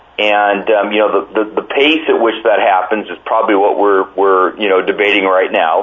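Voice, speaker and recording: The speaker has an American accent and fairly even intonation. The pace is moderate, with noticeable background noise. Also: man, fairly low pitch for a man. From US, Oregon. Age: 50s. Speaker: agricultural cooperative CEO. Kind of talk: interview. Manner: halting, many fillers and repeated words.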